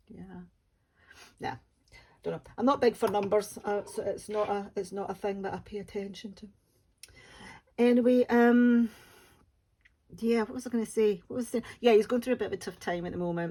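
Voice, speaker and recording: With a Scottish accent, a woman speaks at a moderate pace in a fairly high pitch and a dark, mellow tone, her intonation fairly even, her loudness swinging widely and her speech broken by long, frequent pauses. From West Coast of Scotland, Ayrshire. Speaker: diamond painting YouTuber. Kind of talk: casual chat. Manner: halting, many fillers.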